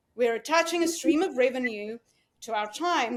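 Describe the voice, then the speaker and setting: A woman with a South African accent uses a high pitch and lively intonation at a moderate pace. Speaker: dental practice executive. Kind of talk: podcast interview.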